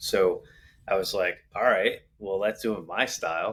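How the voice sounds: A man talks at a fairly slow pace with low pitch and ordinary pitch variation. His tone is fairly bright, with a slightly husky edge.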